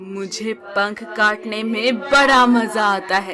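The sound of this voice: Unforced voice, reading aloud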